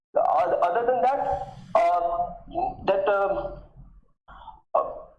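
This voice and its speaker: A man speaks very slowly in an extremely high voice, his pitch swinging very widely. Room echo is audible. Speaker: MBA applicant. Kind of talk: mock job interview. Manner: halting, many pauses and fillers.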